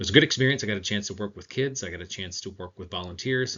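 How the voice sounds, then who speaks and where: This is a man with a fairly low pitch. His pitch varies in an ordinary way. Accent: American. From Michigan. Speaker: teacher and graduate applicant. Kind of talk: video self-introduction.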